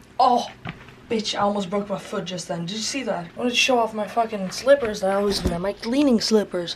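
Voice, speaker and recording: Against noticeable background noise, a woman talks at a fairly quick pace in a medium pitch with ordinary pitch variation. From Sweden. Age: 20s. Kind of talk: casual talk to camera. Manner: chatty, casual, rambling.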